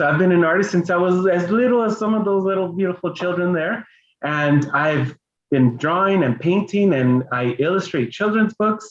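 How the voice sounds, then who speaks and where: A man with a Spanish accent, high pitch, lively intonation, very even loudness and a moderate pace. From Los Angeles, Mexican-American family. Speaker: children's book illustrator and artist. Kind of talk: bilingual family reading event presentation. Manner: halting, code-switching English and Spanish.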